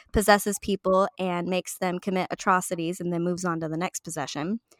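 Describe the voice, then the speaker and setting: In a normal speaking voice, a woman of medium pitch talks at a fairly quick pace with fairly even intonation, in a dry, close sound with no echo on a very clean recording with a silent background. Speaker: book club co-host. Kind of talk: casual chat. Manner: casual, joking.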